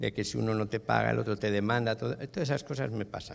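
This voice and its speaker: Vocal fry from a man at medium pitch, fairly even intonation and a fairly quick pace. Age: 60s. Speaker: business owner and franchisee at a church workshop. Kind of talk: workshop testimony. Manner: casual.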